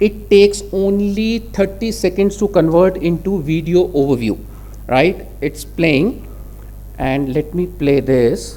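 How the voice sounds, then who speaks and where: A man with an Indian accent, speaking at a fairly slow pace. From India, Delhi. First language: Hindi. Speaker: conference speaker. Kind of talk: technical presentation.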